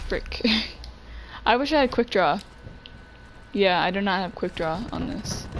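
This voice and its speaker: A woman with medium pitch speaks at a fairly slow pace, with lively intonation, an animated tone and long, frequent pauses. Noticeable background noise runs underneath. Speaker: video game streamer. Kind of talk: live gameplay streaming. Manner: loud; casual, animated.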